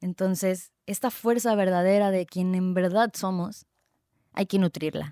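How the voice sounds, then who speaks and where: Dark and mellow in tone, a woman's medium-pitched voice moves at a fairly slow pace. The sound is dry and close, with no echo. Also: very clean recording, silent background. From Mexico, Tijuana (Baja California). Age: 30s. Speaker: podcast host, health coach. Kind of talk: solo podcast monologue. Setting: recorded on video. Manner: animated.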